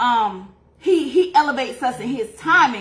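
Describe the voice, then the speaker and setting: A woman speaks at a very slow pace with lively intonation, and audible room echo fills the recording. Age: 40s. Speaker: faith and beauty livestreamer, life coach. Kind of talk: testimony. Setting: livestream. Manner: casual, conversational.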